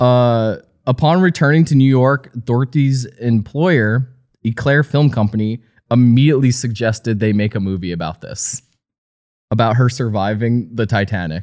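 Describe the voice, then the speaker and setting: This is a man with an American accent and a normal speaking voice. He talks at a moderate pace and a medium pitch. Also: ordinary pitch variation. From New Jersey. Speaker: podcast co-host. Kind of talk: casual chat.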